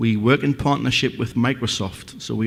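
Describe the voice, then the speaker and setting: A man speaks with a Northeast English accent at a moderate pace. His medium pitch shows ordinary variation. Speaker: company representative presenting a product. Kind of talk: conference presentation.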